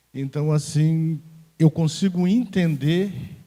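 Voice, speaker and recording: A man speaks at a fairly slow pace with lively intonation and a dark, mellow, somewhat breathy tone, in a very clean recording with a silent background. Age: 60s. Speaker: audience member commenting. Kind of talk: comment from the floor at union event.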